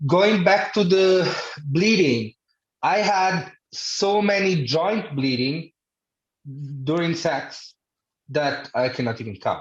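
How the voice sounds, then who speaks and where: Speaking at a very slow pace with long, frequent pauses, a man with an Italian accent uses a high pitch and lively intonation. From Italy. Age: 30s. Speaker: podcast guest with hemophilia. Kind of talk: casual chat.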